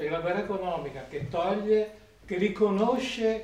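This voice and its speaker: Noticeable background noise sits behind a man whose pitch moves with ordinary variation. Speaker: audience member. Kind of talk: question from audience.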